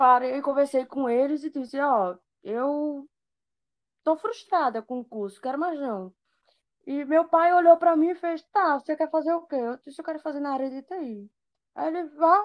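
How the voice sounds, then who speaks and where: A high-pitched woman's voice with lively intonation, dry and close with no echo. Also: moderate pace, big swings in loudness. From Brazil, Recife. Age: 20s. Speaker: computer networking student. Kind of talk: casual chat.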